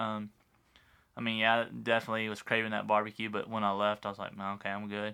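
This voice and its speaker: In a Texan accent, a man speaks at a very fast pace with monotone, flat intonation. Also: fairly low pitch for a man. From West Texas. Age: 30s. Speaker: high school football coach. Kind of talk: casual chat.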